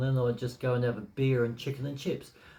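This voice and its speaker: A man with an Australian accent speaks in a relaxed tone. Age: 60s. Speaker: blogger. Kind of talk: casual talk to camera. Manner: relaxed, hesitant with fillers.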